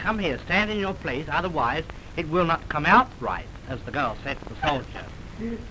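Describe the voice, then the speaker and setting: A man speaks at a high pitch with lively intonation. His pace is moderate, and light background noise can be heard. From England. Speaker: film director. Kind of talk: joking banter on a film sound test. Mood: teasing, playful. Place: studio. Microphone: old recording.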